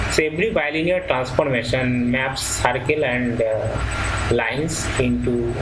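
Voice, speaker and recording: Over loud background noise, a man talks in an Indian accent. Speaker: professor. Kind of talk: lecture. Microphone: webcam.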